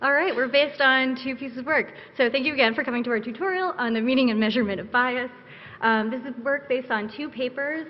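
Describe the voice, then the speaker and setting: The speech moves at a very fast pace. Pitch varies in an ordinary way. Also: woman. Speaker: conference presenter. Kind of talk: lecture. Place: hall. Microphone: podium.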